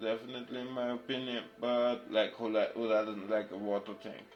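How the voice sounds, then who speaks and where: A man talks at a moderate pace with a medium-pitched voice. Music plays in the background. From Germany. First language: German. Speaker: craft streamer. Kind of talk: casual chat. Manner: halting, many restarts; quiet while concentrating.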